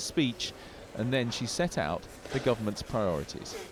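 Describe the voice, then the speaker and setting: A man speaks over noticeable background noise. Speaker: news reporter. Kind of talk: TV news report voiceover.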